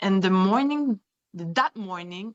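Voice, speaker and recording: Speaking in a French accent, a woman uses lively intonation at a medium pitch. Her pace is fairly slow. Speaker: kidnapping survivor. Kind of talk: testimony. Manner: halting.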